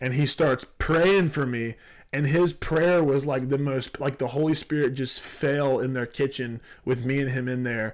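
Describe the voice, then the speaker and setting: In a Southern US accent, a man speaks at a fairly high pitch with fairly even intonation on a very clean recording with a silent background. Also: moderate pace. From South Georgia. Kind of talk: casual conversation, faith teaching.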